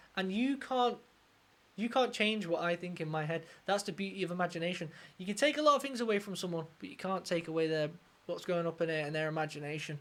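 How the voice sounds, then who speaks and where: A woman with a southern English accent talks very fast in an animated tone, her fairly low voice full of lively intonation. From southern England. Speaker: music reaction YouTuber, guitarist. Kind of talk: music reaction commentary.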